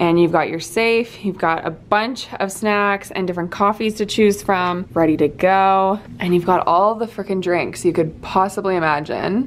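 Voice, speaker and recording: A woman's fairly slow speech, with ordinary pitch variation, comes through light background noise. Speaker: travel vlogger. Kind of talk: casual vlog chat. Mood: excited, delighted. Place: home room. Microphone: phone near.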